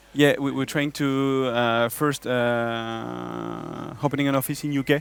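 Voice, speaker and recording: A man's medium-pitched voice in a French accent, monotone and flat in intonation, with noticeable background noise. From France. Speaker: software business developer. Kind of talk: conference stage interview.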